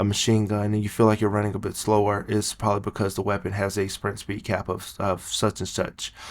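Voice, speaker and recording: Quiet and monotone, a man speaks with flat intonation at a fairly low pitch. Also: very clean recording, silent background. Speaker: gaming youtuber. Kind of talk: gameplay tutorial. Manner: quiet, low-voiced.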